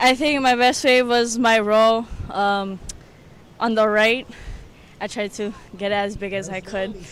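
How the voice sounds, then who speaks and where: Fairly slow and fairly even, a woman speaks in a fairly high pitch. Long, frequent pauses break up her speech. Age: young. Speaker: bodyboarder. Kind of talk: interview.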